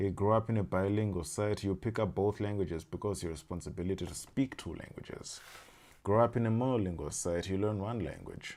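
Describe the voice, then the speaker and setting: In a Zimbabwean accent, a man talks at a very fast pace and fairly low pitch, with ordinary pitch variation. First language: Shona. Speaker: language learning YouTuber. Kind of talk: casual explainer monologue. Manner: halting, many fillers and restarts.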